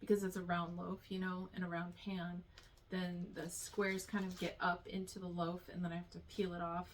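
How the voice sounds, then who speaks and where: The voice is somewhat breathy and delivered in a monotone, flat intonation. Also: woman, fairly low pitch for a woman, moderate pace. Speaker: small business owner and home baker vlogger. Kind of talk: casual product review vlog. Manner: casual with many fillers.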